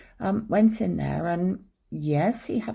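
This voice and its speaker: A man's fairly high voice with vocal fry. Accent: English. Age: 60s. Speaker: abuse survivor vlogger. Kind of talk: personal storytelling. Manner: hesitant, many ums.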